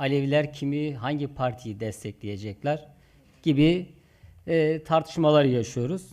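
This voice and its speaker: Here a man speaks at a moderate pace with a fairly high pitch. His tone is dark and mellow, with ordinary pitch variation. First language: Zazaki (Kirmanjki) (speaking Turkish). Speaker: community organization leader. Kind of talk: conference speech.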